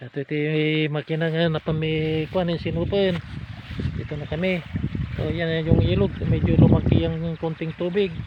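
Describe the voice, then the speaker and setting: Over noticeable background noise, a man speaks at a moderate pace in a fairly high pitch with fairly even intonation. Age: 70s. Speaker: farmer. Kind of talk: casual vlog talk to camera. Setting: outdoors.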